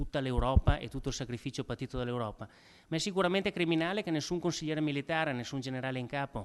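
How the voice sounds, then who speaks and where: A man with a fairly high pitch at a very fast pace. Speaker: event moderator introducing a historian. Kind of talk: lecture introduction. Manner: halting, frequent repetitions and fillers.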